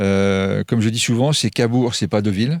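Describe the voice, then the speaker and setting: Speaking at a fairly slow pace with fairly even intonation, a man has an unremarkable speaking voice. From Normandy, France. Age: 50s. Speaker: restaurant chef. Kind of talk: radio interview.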